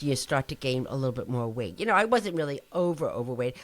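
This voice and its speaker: A woman speaks with a New Jersey accent. Her pitch swings very widely. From New Jersey, US. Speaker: nutrition professor. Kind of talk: interview. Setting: podcast.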